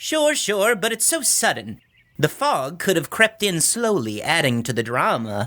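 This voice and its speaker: A man puts on a whiny character voice at a high pitch, with very wide pitch swings. He keeps a moderate pace. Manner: whiny, complaining.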